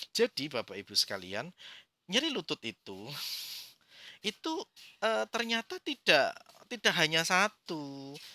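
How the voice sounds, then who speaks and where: With a Central Java accent, a man speaks fairly slowly at a high pitch in a bright, sharp tone, his pitch swinging very widely and long, frequent pauses breaking his speech, in a dry, close, very clean recording with no echo and a silent background. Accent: Brebes ngapak Javanese. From Indonesia, Brebes (Central Java). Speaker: acupuncture teacher. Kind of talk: lecture. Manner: halting, with fillers.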